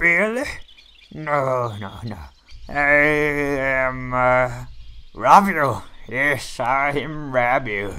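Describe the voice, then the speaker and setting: Using a cartoonish character voice, a man speaks at a medium pitch. His pace is very slow, with long, frequent pauses. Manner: loud, shouting, cheerful.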